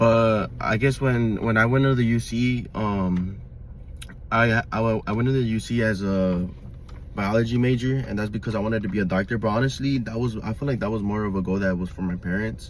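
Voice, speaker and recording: Speaking at a fairly quick pace, a man with an American accent uses a medium pitch and fairly even intonation. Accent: Mexican American Los Angeles English. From Los Angeles, US. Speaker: vlogger. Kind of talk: personal monologue. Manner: halting, many fillers.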